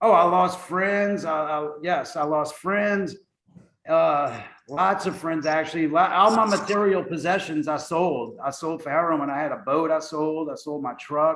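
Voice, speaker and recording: In an American accent, a man uses an ordinary speaking voice at a fairly high pitch, with ordinary pitch variation and a fairly slow pace. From US South, New Orleans. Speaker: navy veteran in recovery. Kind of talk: interview testimony.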